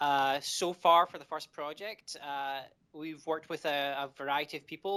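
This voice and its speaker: A man with a Scottish accent, fairly high in pitch and bright and sharp in tone, on a very clean recording with a silent background. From Scotland. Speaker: indie game developer. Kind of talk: interview. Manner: halting, many fillers.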